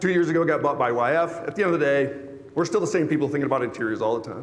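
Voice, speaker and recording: A man speaks in an animated tone. Audible room echo surrounds the voice. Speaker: automotive industry executive. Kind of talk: conference presentation. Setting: stage with audience. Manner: fast.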